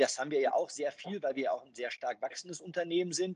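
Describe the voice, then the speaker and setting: An unremarkable speaking voice from a man, fairly high in pitch, at a fairly quick pace with lively intonation. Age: 40s. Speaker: banker. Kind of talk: interview.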